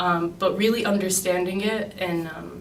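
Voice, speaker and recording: Audible room echo surrounds a woman with a Chicago accent and fairly low pitch. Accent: Chicago American. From US Midwest, Chicago. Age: 20s. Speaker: graduate student. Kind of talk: interview. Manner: hesitant, many um fillers.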